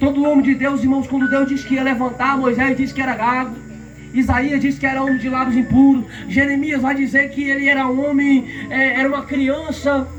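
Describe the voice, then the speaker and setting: A man's extremely high-pitched, monotone, flat voice at a fairly quick pace, with audible room echo and noticeable background noise. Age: young. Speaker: preacher. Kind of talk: sermon.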